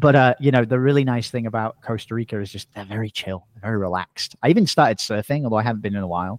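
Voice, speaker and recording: A man with an American accent and a medium pitch talks at a very fast pace with hardly any pauses, his loudness swinging widely and his pitch varying in an ordinary way, in a dry, close sound with no echo. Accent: English with American and Australian tinge. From England. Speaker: podcast entrepreneur. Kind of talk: casual interview. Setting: video call.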